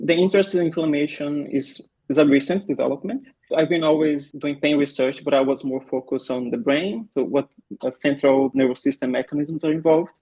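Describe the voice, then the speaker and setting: A man speaks with a Brazilian Portuguese accent. His tone is dark and mellow. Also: fairly high pitch for a man, ordinary pitch variation. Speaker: pain researcher and physiotherapist. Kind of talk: podcast interview. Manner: some hesitations and repeated words.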